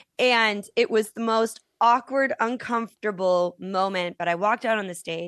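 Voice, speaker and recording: A woman with an ordinary speaking voice talks at a moderate pace in a medium pitch with ordinary variation, the sound dry and close with no echo against a quiet background. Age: 40s. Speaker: author and storyteller. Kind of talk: interview.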